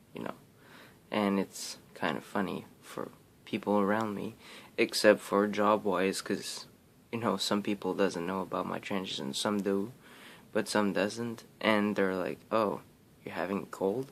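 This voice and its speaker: A man's fairly low voice at a fairly slow pace, fairly even in intonation, on a very clean recording with a silent background. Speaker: vlogger. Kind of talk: casual vlog update. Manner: hesitant, many fillers.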